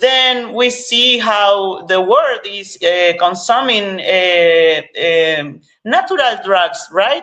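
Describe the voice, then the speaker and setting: The speaker is a woman. She talks with an Argentine accent. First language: Spanish. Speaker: cannabis activist. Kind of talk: interview. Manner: halting, many fillers and repetitions.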